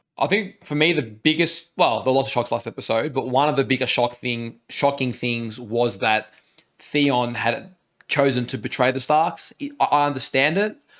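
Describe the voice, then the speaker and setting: With an Australian accent, the speaker talks at a moderate pace with ordinary pitch variation. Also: man, medium pitch for a man. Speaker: reaction video co-host. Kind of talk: casual chat.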